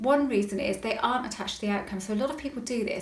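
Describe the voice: With audible room echo, a woman with a West Country accent talks at a fast pace in a fairly high pitch with ordinary pitch variation.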